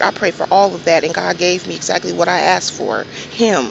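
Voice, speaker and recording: A soft-spoken woman talks at a medium pitch and moderate pace over noticeable background noise. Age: 30s. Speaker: vlogger, registered nurse. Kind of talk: casual monologue vlog. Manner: halting.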